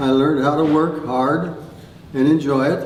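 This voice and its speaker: Over noticeable background noise and audible room echo, a man talks at a fairly slow pace with a fairly high pitch and fairly even intonation. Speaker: retired farmer telling life story. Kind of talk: oral history storytelling. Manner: halting, many fillers.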